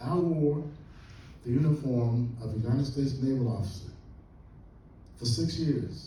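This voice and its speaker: Long, frequent pauses break up this man's speech, which has a medium pitch, ordinary pitch variation and audible room echo. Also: moderate pace. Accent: American. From Central Florida, Volusia County. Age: 80s+. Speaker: historian and professor. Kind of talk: lecture. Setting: classroom lecture to students. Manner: animated.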